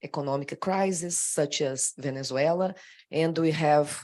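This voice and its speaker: A woman with a Brazilian accent speaks in a very deep, low pitch at a fairly slow pace with ordinary pitch variation. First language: Portuguese. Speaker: government official. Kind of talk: panel discussion. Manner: halting.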